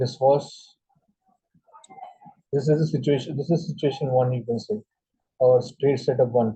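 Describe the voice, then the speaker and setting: Somewhat breathy, a man talks at a moderate pace. He leaves long, frequent pauses. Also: medium pitch for a man. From India. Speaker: trading instructor. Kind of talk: tutorial. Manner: halting, many fillers.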